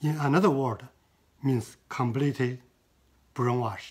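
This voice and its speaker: A man speaks at a medium pitch and moderate pace, somewhat breathy, with ordinary pitch variation. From China. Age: 70s. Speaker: artist. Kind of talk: interview. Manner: halting.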